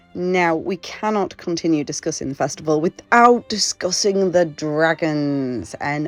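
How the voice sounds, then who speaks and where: Over music in the background, the speaker talks at a moderate pace with ordinary pitch variation. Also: woman. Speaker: festival crochet trader. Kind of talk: casual vlog narration.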